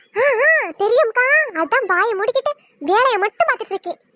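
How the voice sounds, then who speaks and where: Using a cartoonish character voice, a woman speaks at an extremely high, squeaky pitch with lively intonation and a moderate pace, the sound dry and close with no echo. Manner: grumbling, defensive.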